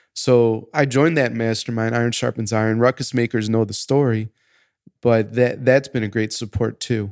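Here is an ordinary speaking voice at a moderate pace. The sound is dry and close with no echo, in a very clean recording with a silent background. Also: man, medium pitch for a man, fairly even intonation. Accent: American. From United States. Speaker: podcast host. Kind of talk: casual chat.

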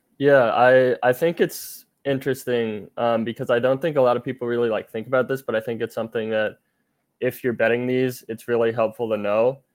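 In a plain, everyday voice, the speaker talks at a fairly quick pace with fairly even intonation. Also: man, medium pitch for a man. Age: 20s. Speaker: sports betting analyst. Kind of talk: casual podcast chat.

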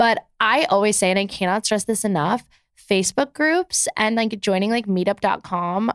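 With an American accent, a woman speaks at a fairly quick pace in an unremarkable speaking voice of medium pitch, in a very clean recording with a silent background and a dry, close sound with no echo. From New Jersey. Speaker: content creator and author. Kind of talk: casual chat.

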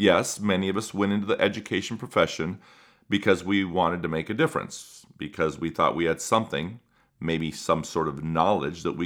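Speaking at a moderate pace with an American accent, a man uses a very deep, low pitch with ordinary pitch variation. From US, Spanish-speaking household. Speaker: podcast host, educator. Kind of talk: podcast monologue. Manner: energetic.

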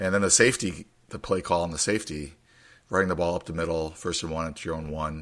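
The man speaks fast with a low, gravelly voice, a fairly bright tone and fairly even intonation.

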